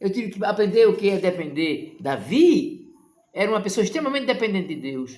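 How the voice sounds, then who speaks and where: A man with a high pitch, very wide pitch swings, and a fairly quick pace. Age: 60s. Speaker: evangelical preacher. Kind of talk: sermon. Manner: impassioned.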